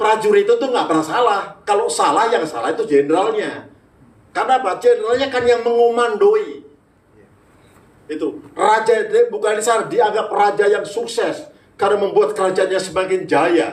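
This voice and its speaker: A man with a Javanese accent speaks at a moderate pace in an animated tone, his high pitch showing ordinary variation. Audible room echo and noticeable background noise fill the recording. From Manado, North Sulawesi. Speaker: pastor. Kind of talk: sermon. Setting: church.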